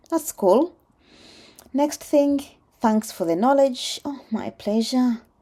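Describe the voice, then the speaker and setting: Speaking with a Ugandan accent at a very slow pace, a woman uses a high pitch, a dark, mellow tone and lively intonation, with long, frequent pauses. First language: Luganda. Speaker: PhD student and vlogger. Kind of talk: casual vlog reading comments. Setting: outdoors cycling. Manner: animated.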